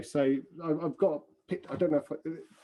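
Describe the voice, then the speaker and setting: A man with an English accent speaks in a fairly high pitch with a dark, mellow tone. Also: quiet background. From England. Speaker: film extra and artist. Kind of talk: interview. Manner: halting, many fillers and repeats.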